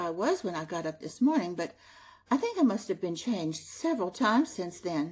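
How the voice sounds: A natural reading voice carries the whole clip.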